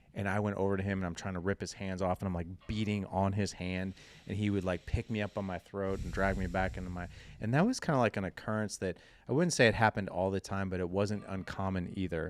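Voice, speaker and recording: Using fairly even intonation, a man talks very fast at a fairly low pitch. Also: very clean recording, silent background. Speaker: fatherhood podcast host and founder. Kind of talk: casual interview, personal storytelling. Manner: casual, conversational.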